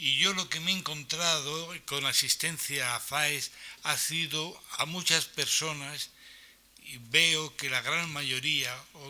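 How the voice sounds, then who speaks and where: A man talks at a very slow pace with a fairly high pitch. His tone is bright and sharp. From Spain, Valencian region (Aspe, Elche). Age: 60s. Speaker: center user with Alzheimer's. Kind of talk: reading aloud. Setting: conference hall, live stream.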